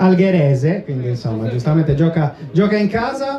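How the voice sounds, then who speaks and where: This man talks at a fairly quick pace, his pitch swinging very widely, while noticeable background noise and audible room echo surround him. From Sardinia, Cagliari. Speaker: awards ceremony presenter. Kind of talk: live event presenting. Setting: stage with audience.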